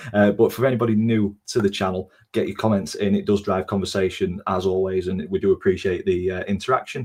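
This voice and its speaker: A man with a Yorkshire accent speaks at a fairly quick pace, fairly low in pitch and somewhat breathy. His intonation is fairly even, and the recording is very clean with a silent background. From Doncaster, South Yorkshire. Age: 20s. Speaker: football podcast host. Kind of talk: casual chat.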